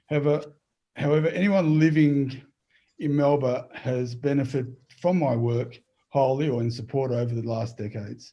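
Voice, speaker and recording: Speaking at a moderate pace, a man with a medium pitch sounds somewhat breathy, with ordinary pitch variation. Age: 60s. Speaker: council candidate. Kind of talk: closing statement. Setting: video call.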